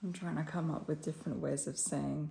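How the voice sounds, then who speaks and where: Soft-spoken and dark, mellow in tone, a woman talks in a very deep, low pitch with vocal fry and lively intonation. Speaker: fitness vlogger. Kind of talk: casual vlog. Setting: at home, then gym car park.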